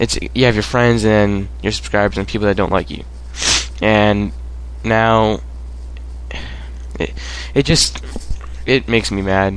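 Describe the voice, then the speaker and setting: This man's voice sits fairly low and makes very wide pitch swings. There is noticeable background noise. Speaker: gaming commentator. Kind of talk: gameplay commentary rant. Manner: halting, stuttering.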